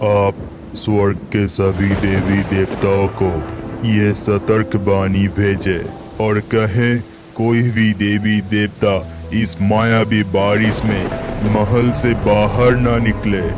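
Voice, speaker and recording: Clear music plays behind a man doing a cartoonish character voice. He speaks at a very slow pace in a fairly low pitch. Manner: calm, authoritative.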